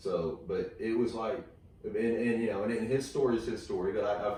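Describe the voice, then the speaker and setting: A man talks at a fairly quick pace in a Texan accent. Audible room echo surrounds his voice. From Texas. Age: 40s. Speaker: comedian. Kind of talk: casual chat. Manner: halting, many fillers.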